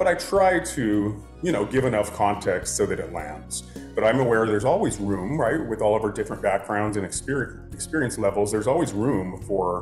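A man talks at a fairly quick pace with a fairly low pitch. Faint music plays behind him, and the room echo is audible. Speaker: course instructor. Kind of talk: casual talk to camera addressing class. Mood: earnest, slightly apologetic. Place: home room. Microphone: phone near.

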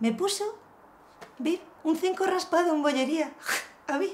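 A woman speaks at a fairly slow pace with an extremely high pitch. Her intonation is lively, and light background noise runs underneath. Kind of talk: casual confessional monologue. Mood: wry, exasperated humor. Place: home room. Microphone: camera far.

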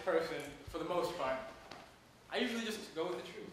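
Pitched high for a man, this male voice carries strong room echo over light background noise. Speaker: storyteller. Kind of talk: personal storytelling talk to a small audience. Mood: wry, humorous, candid. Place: home room. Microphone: camera far.

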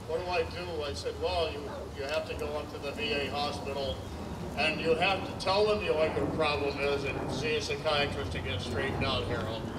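Loud background noise runs under this voice. A man is speaking at a fairly quick pace. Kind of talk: ceremonial speech. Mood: earnest, reflective. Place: stage. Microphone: podium.

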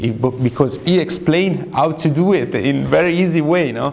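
With lively intonation and a moderate pace, a man talks over light background noise. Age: 30s. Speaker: fashion model. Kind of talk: interview. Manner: halting. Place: studio. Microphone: lapel.

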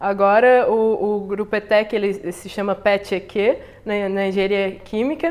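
A woman speaks with fairly even intonation. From southern Brazil (Rio Grande, Rio Grande do Sul). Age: young. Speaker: chemical engineering researcher; interviewee. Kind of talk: interview. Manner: halting, frequent repetitions. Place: home room.

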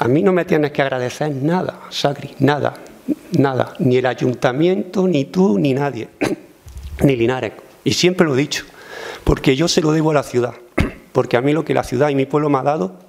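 Moving at a moderate pace, a man speaks with long, frequent pauses. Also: ordinary pitch variation. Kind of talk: press conference remarks. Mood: earnest, grateful, emotional. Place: meeting room. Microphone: podium.

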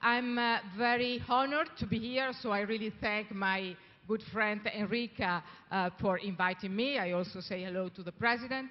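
Fairly high in pitch, a woman with an Italian accent speaks at a moderate pace with ordinary pitch variation. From Italy. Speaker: business leader. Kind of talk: welcome speech. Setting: stage with audience at gala. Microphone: handheld.

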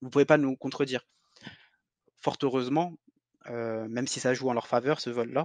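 A man talks at a moderate pace and medium pitch with fairly even intonation. He leaves long, frequent pauses. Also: dry, close sound with no echo. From Algeria. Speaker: cultural heritage advocate. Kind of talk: interview. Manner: halting.

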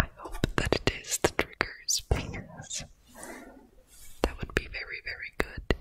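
Soft-spoken whispering comes at a fairly slow pace, with a dry sound, no echo and light background noise. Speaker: ASMR creator. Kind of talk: soft-spoken ASMR chat. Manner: soft close-mic whisper. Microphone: studio mic.

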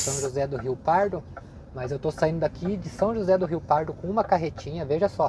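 At a moderate pace, the voice comes through with a dry sound and no echo over noticeable background noise. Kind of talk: casual vlog chat. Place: car. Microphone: phone near.

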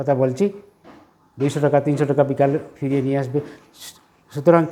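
The speaker is a man with a fairly high pitch. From Jiribam area, Manipur, India. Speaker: retired headmaster. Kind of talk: interview.

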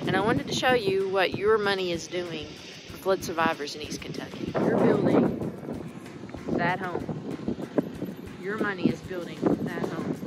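Loud background noise fills this clip of a woman speaking at a moderate pace. She leaves long, frequent pauses, and her pitch varies in an ordinary way. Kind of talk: casual vlog chat. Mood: earnest, grateful. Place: open country. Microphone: phone near.

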